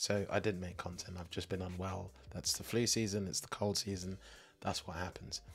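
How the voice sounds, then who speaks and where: A man with a very deep, low voice, somewhat breathy, speaks at a moderate pace with ordinary pitch variation over light background noise. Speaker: tech tutorial YouTuber. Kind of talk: casual talk to camera with screen walkthrough.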